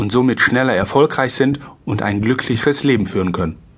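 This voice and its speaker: The voice belongs to a man. It sits at a medium pitch and moves at a moderate speed. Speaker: insurance broker and sales trainer. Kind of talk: audiobook narration. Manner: amateur, non-professional reading.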